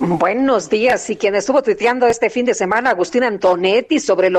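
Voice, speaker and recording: A woman talks at a fairly quick pace with a fairly high pitch and ordinary pitch variation. Hers is a plain, everyday voice. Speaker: radio news co-host. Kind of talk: morning radio news show.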